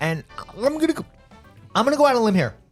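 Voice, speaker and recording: A man at a very fast pace over music in the background. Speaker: podcast co-host. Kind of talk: casual podcast banter.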